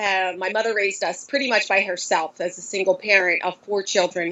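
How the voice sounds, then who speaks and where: At a moderate pace and with hardly any pauses, a woman talks in a medium pitch with fairly even intonation. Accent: Philadelphia. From Philadelphia, US. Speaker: high school Spanish teacher. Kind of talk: podcast interview.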